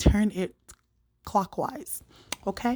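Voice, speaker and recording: The voice has a dark, mellow tone and ordinary pitch variation, captured dry and close with no echo. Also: woman. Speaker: cooking YouTuber. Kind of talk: cooking tutorial. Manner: casual, chatty.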